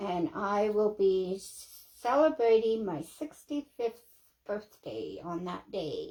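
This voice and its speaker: Very slow speech in a dark, mellow tone with lively intonation. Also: woman, fairly high pitch for a woman. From Canada. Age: 60s. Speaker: craft livestreamer. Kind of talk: casual livestream chat while crafting.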